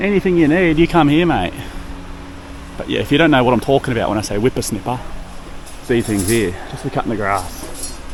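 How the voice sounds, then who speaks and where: With an Australian accent, a man talks at a fairly quick pace and a medium pitch, his voice swinging very widely in pitch, with long, frequent pauses and noticeable background noise. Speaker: expat dad vlogger. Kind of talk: casual vlog talk to camera.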